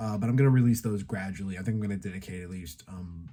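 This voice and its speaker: Here a man talks with a dark, mellow tone and fairly even intonation. His pitch is fairly low. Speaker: YouTuber, toy and tokusatsu reviewer. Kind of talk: casual channel update monologue. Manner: halting, many fillers.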